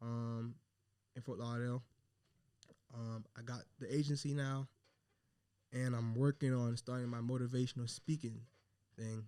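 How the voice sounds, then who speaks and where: A man with a medium pitch speaks at a moderate pace in a dark, mellow tone. His delivery is monotone and flat, broken by long, frequent pauses. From Haitian family. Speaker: entrepreneur and mentor. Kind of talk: podcast interview. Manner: halting, many fillers.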